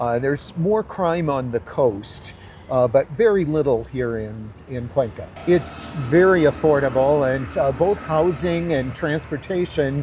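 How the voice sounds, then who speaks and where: A man with an American accent speaks fairly slowly in a fairly high voice. His intonation is lively, with noticeable background noise. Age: 60s. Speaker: American retiree expat. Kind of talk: interview. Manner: halting, many fillers.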